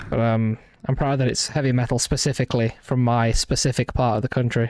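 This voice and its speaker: With a slight Midlands accent, a man talks at a medium pitch and a fairly quick pace, in monotone, flat intonation. His loudness is very even, and the sound is dry and close with no echo. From English West Midlands, Walsall area. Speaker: video game streamer. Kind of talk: casual live-stream chat while gaming. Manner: halting, many false starts and fillers.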